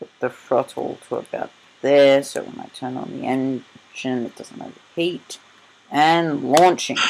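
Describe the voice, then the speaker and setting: The speaker has an Australian accent and a fairly slow pace. Noticeable background noise runs underneath. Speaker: gaming youtuber. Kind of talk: gameplay commentary. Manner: loud; halting.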